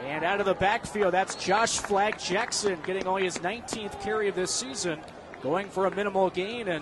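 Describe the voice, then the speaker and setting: Speaking at a moderate pace with fairly even intonation, a man with a high pitch comes through over noticeable background noise. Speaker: football play-by-play announcer. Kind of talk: live football play-by-play commentary.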